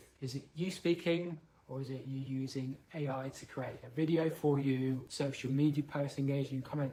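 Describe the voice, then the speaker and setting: At a moderate pace, a man speaks in a fairly high, somewhat breathy voice with a dark, mellow tone and monotone, flat intonation. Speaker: leadership speaker. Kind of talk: talking-head monologue.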